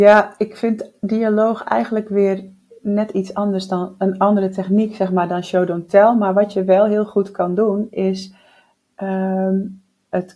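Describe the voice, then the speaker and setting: Speaking at a very slow pace, a woman uses a dark, mellow tone at medium pitch. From Netherlands (Groningen). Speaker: writing podcast co-host, novelist. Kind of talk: casual chat. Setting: at a kitchen table.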